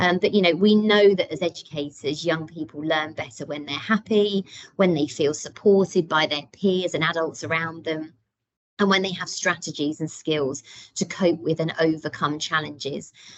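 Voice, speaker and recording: Fairly even intonation marks this voice with a British accent. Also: woman, fairly low pitch for a woman, moderate pace. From UK. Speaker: deputy head teacher. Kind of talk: parent workshop presentation. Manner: many filler ums.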